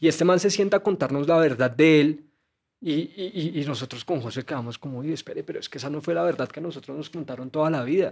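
A man's fairly high voice at a very fast pace, with ordinary pitch variation, on a very clean recording with a silent background. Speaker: journalist and documentary maker. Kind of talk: casual interview conversation.

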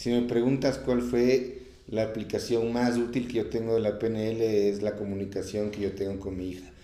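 Audible room echo surrounds a man of medium pitch who speaks with fairly even intonation and hardly any pauses. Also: moderate pace. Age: 30s. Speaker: personal development course graduate, sales worker. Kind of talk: interview.

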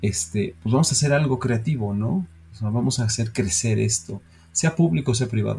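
With a dark, mellow tone and a somewhat breathy quality, this man talks at a medium pitch and moderate speed, his intonation lively. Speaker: podcast co-host, business owner. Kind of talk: casual chat.

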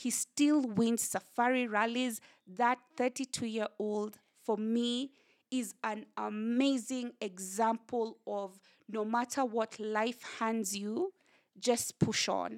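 With a Kenyan accent, a woman speaks very slowly at a fairly high pitch with fairly even intonation, in a dry, close sound with no echo. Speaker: communications director and author. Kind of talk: casual interview. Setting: her home.

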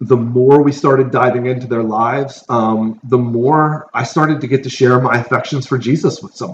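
With an ordinary speaking voice, a man talks at medium pitch and a moderate pace, with ordinary pitch variation. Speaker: pastor. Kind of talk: casual chat. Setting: big room. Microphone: poor audio, room echo.

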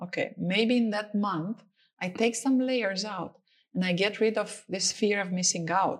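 A woman with a Romanian accent speaks at a fairly slow pace and medium pitch. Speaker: entrepreneur and startup mentor. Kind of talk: interview.

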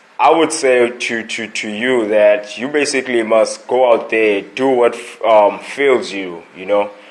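Medium-pitched male speech, fairly slow with hardly any pauses, ordinary pitch variation and big swings in loudness, over noticeable background noise. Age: 20s. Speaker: motivational podcaster. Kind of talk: motivational monologue. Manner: halting, many fillers and repetitions; casual, conversational.

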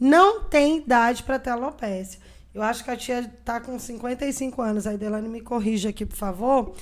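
This woman speaks at a fairly slow pace in a high voice, with ordinary pitch variation. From Brazil, Minas Gerais and Brasília. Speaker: podcast guest with alopecia. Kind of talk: casual interview chat.

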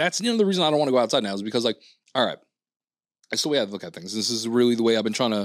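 Over a silent background in a very clean recording, a man with a New York accent talks very fast at a medium pitch with lively intonation. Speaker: podcast host. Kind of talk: casual chat. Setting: studio.

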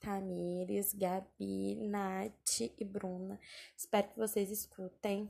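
A woman talks very slowly in a dark, mellow tone at a medium pitch. Her voice is somewhat breathy, and her intonation stays fairly even. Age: 20s. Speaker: podcaster, communications worker. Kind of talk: casual personal monologue.

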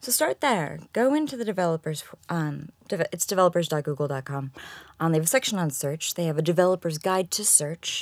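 A woman with an American accent talks at a very fast pace, her pitch fairly low and her intonation lively. The recording is very clean, with a silent background. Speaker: technical SEO consultant. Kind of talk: interview. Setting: studio.

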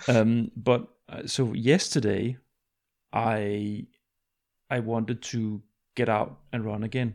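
In a Danish accent, a man of medium pitch speaks very slowly with long, frequent pauses and fairly even intonation. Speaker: podcast host. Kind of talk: casual interview.

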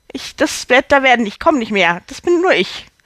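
A woman speaks at a fairly slow pace in an animated tone. The sound is dry and close, with no echo. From Hamburg, northern Germany. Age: 40s. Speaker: actress and podcaster. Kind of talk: storytelling monologue.

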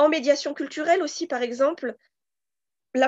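Over a quiet background, a woman talks with a high pitch and an animated tone. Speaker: recruitment firm co-founder. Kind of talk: interview.

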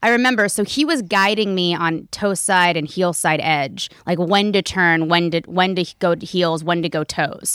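At a moderate pace with hardly any pauses, a woman speaks in a plain, everyday voice, fairly low in pitch with ordinary pitch variation, on a very clean recording with a silent background. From US South, Raleigh, North Carolina. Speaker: neurofeedback technician. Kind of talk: casual interview. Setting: in person at a home.

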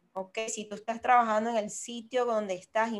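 With music in the background, a woman of fairly high pitch speaks at a moderate pace. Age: 40s. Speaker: podcast co-host. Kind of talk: casual chat. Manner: animated.

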